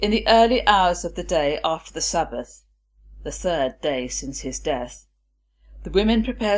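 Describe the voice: A low-pitched woman's voice with lively intonation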